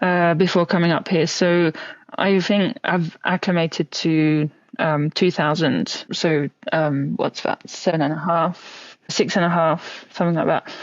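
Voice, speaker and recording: Speaking fairly slowly with a French accent, a woman keeps her fairly low pitch, fairly even intonation and very even loudness. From France. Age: 20s. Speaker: professional cyclist. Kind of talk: podcast interview.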